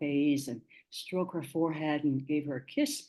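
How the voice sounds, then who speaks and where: With a Cantonese accent, a woman speaks fairly slowly in a dark, mellow tone. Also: quiet background. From Hong Kong. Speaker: media producer and journalist. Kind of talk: webinar talk. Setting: online webinar.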